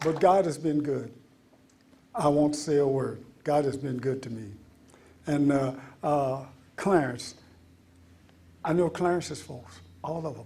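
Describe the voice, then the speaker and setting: With audible room echo, a man talks at a fairly slow pace and a fairly high pitch, with long, frequent pauses and big swings in loudness. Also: ordinary pitch variation. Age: 80s+. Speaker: retired soul singer. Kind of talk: storytelling talk to an audience. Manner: halting with fillers.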